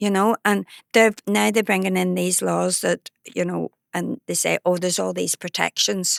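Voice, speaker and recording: Recorded very cleanly against a silent background, a woman with a Belfast accent speaks at a moderate pace in a dry, close sound with no echo. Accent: Belfast Northern Irish. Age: 70s. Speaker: activist. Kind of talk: interview conversation.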